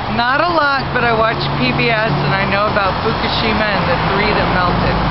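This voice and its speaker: A woman's fairly high voice moves at a fairly quick pace with lively intonation. Noticeable background noise runs underneath. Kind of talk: street interview answer. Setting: outdoors at a roadside corner.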